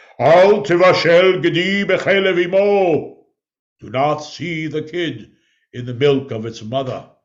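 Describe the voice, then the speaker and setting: Putting on a character voice, a man speaks in a resonant, high pitch at a fairly slow pace. His tone is solemn. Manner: solemn, booming.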